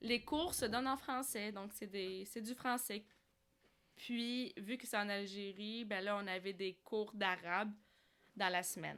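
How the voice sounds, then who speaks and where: This woman talks at a very slow pace with fairly even intonation. Her pitch sits in the medium range. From Algeria, Algiers. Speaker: cosplayer and leisure animator for seniors. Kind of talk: interview.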